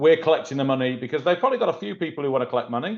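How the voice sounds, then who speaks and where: Here a man talks with a British accent. His pitch is medium. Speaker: collections company executive. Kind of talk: webinar panel discussion.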